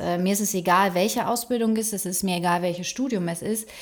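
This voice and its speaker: Her delivery is fairly quick with fairly even intonation, and the woman has a plain, everyday voice. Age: 40s. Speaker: PR agency director. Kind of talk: casual chat. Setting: office room.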